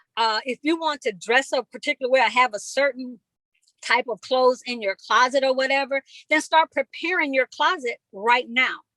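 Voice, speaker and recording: A woman projects her raised voice at a high pitch with ordinary pitch variation, her tone bright and sharp, her pace moderate, and the sound dry and close with no echo. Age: 60s. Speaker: motivational speaker. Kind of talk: live talk.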